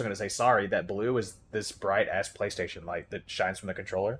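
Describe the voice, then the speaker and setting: The recording is very clean, with a silent background. The speech moves at a very fast pace. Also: man. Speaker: gaming streamer. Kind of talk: live gameplay commentary. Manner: casual, animated.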